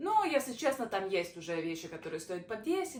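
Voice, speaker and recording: Fairly quick speech with very wide pitch swings and noticeable background noise behind it. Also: woman. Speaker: vlogger. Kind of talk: casual vlog. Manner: halting.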